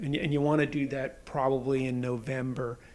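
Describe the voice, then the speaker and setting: A man with a medium pitch and fairly even intonation speaks in a normal speaking voice. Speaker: podcast host, reporter. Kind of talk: casual chat. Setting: home, recording at kitchen table.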